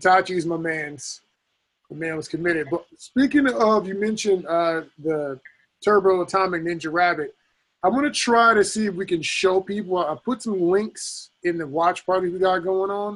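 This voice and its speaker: Delivery comes at a moderate speed. The pitch rises and falls normally. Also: man, high pitch for a man. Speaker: podcast host. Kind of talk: casual interview.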